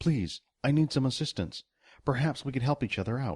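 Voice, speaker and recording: Putting on a character voice, a man speaks at a fairly quick pace. The voice is resonant and medium in pitch. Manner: calm, non-threatening.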